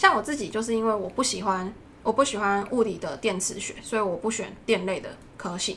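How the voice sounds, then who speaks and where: A woman talks at a fairly quick pace in a fairly high voice with ordinary pitch variation. It is a normal speaking voice. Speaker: doctoral student. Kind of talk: casual chat.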